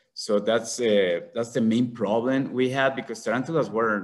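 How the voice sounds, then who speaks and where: A man is talking. His accent is Mexican. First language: Spanish. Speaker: conservationist, tarantula breeder. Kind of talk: symposium talk. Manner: halting.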